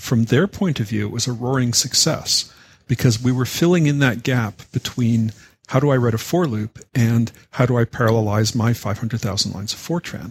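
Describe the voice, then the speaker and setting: A man with a Canadian accent speaks in a somewhat breathy, medium-pitched voice. His pace is moderate and his pitch varies in an ordinary way. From Canada. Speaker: software educator, founder of a teaching organization. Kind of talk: podcast interview.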